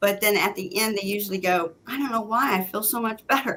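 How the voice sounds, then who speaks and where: A woman's fairly high, bright and sharp voice at a fairly quick pace. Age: 60s. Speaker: psychic medium, former deputy sheriff. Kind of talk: casual chat.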